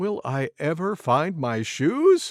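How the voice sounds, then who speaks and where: In a very clean recording with a silent background, a man performs a cartoonish character voice at a high pitch. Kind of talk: bedtime story reading. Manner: gentle, clear, warm.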